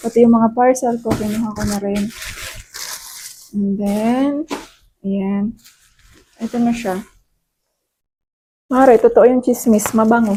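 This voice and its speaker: A woman with a fairly high pitch speaks at a fairly slow pace, with fairly even intonation and long, frequent pauses. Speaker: beauty vlogger. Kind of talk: product haul vlog. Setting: at home. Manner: casual, code-switching.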